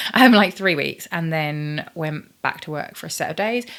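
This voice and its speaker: A woman with a fairly low pitch speaks in a British accent with lively intonation. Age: 40s. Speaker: YouTuber. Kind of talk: casual vlog chat. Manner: chatty, filler-heavy.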